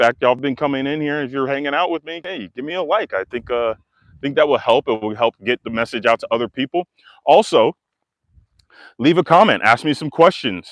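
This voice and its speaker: With an American accent, a man talks at a fairly quick pace and fairly high pitch, using lively intonation and big swings in loudness, in a dry, close sound with no echo and a quiet background. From Texas. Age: 40s. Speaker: life coach. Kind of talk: live stream monologue. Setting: live stream video. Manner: casual, conversational.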